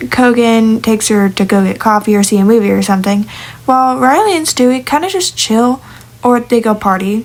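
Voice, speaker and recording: Noticeable background noise runs beneath the recording. A woman speaks at a moderate pace. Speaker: digital artist talking about original characters. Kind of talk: casual monologue. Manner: hesitant with fillers and restarts.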